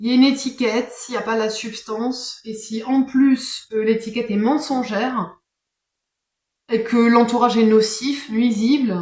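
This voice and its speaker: Very slow, fairly even intonation in a woman's fairly high voice. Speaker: tarot card reader. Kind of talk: casual monologue. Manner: hesitant, many fillers.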